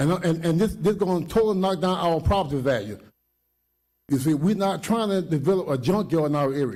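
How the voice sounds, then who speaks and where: His high pitch and dark, mellow tone carry lively intonation as the man speaks. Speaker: resident speaking at public hearing. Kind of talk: public comment at meeting. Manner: fast; animated.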